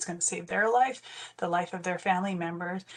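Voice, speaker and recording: A woman has a normal speaking voice, a medium pitch and ordinary pitch variation. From northwestern Ontario, Canada. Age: 40s. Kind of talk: webinar presentation. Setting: online webinar. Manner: conversational, frequent fillers.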